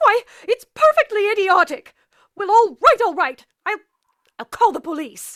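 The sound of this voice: In a put-on character voice, a woman speaks at an extremely high pitch with big pitch swings and a bright, sharp tone, in a dry, close sound with no echo. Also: moderate pace.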